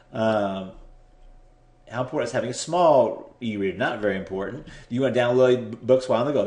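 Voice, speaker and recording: The man speaks very fast. His voice carries an audible room echo. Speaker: internet marketing tutor. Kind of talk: screen-share tutorial. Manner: hesitant, repeats words.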